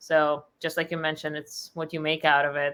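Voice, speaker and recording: At a fairly quick pace, a woman talks in a very deep, low voice with a bright, sharp tone. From Russia. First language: Russian. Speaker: company founder. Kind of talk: interview.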